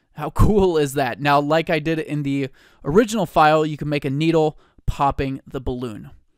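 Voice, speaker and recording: A man speaks in an animated tone at a moderate pace, his fairly high pitch showing ordinary variation, with a dry, close sound and no echo. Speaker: 3D software tutorial creator. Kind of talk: tutorial.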